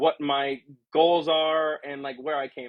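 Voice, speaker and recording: A fairly slow delivery from a man with a fairly high pitch. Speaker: streamer. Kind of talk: casual livestream chat. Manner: loud.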